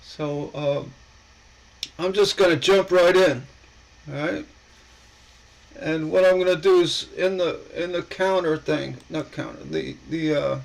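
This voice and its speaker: This man talks at a fairly slow pace, leaving long, frequent pauses, with noticeable background noise present. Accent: American. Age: 60s. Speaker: coin collector YouTuber. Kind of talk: live stream chat. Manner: halting.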